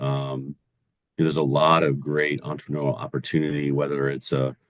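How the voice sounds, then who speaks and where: A man's very deep, low voice moves at a moderate pace. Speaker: commercial lender. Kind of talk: podcast interview. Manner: loud.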